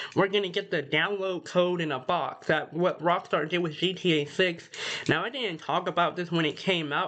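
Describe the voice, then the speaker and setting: A woman talks at a fairly quick pace, her pitch varying in an ordinary way, with noticeable background noise behind her. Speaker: gaming YouTuber. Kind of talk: casual commentary reading a news article. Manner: casual, filler-heavy.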